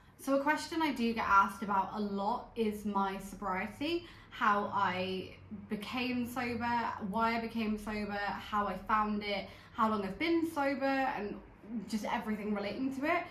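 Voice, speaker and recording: Amid noticeable background noise and audible room echo, a woman speaks at a moderate pace in a fairly high pitch with ordinary pitch variation. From southwest England, Bristol. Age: 30s. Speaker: vlogger. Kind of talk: casual chat. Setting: at home on the sofa.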